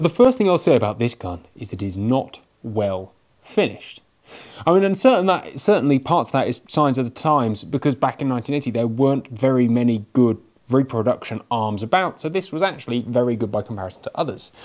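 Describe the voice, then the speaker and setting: Against a quiet background, a man speaks at a fairly quick pace with big swings in loudness. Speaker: gun reviewer. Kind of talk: product review commentary. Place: shop.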